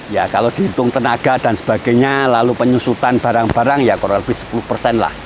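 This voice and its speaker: Amid noticeable background noise, a man talks at a very fast pace with fairly even intonation and very even loudness. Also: medium pitch for a man. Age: 60s. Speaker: farmer. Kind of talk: interview testimony.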